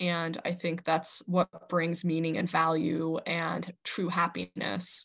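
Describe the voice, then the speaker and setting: A woman speaks very slowly in a fairly low, monotone voice with vocal fry, hardly pausing at all. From Iran. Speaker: podcast host. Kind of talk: casual chat.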